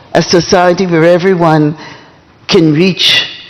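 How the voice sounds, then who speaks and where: The speaker goes at a fairly slow pace while noticeable background noise sits behind the voice. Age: 80s+. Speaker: community leader. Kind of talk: speech.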